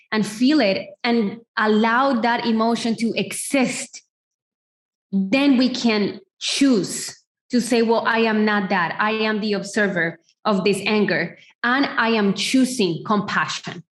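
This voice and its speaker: At a fairly slow pace, a woman speaks with a fairly high pitch. Her voice is somewhat breathy, with ordinary pitch variation. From Colombia. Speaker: feminine empowerment coach. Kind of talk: podcast interview answer.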